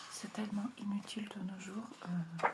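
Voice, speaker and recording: A soft-spoken woman's medium-pitched voice, monotone and flat, over noticeable background noise. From Russia. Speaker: ASMR creator. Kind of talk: ASMR page-turning talk.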